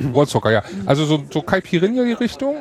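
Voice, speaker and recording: Against noticeable background noise, a man talks with very wide pitch swings. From Hamburg. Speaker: podcast host. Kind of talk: casual chat. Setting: podcaster table at a hacker congress.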